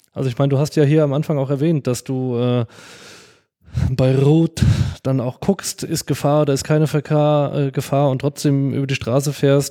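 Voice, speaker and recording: A man with a fairly high pitch talks at a moderate pace in a monotone, flat intonation. The sound is dry and close with no echo. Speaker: podcast host. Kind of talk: podcast interview.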